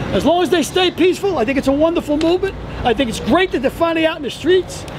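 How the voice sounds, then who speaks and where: A man talks very fast in an American accent, his pitch extremely high with ordinary variation. Noticeable background noise sits behind him. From New York City, the Bronx. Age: 60s. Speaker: retired firefighter. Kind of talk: street interview at a protest. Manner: animated.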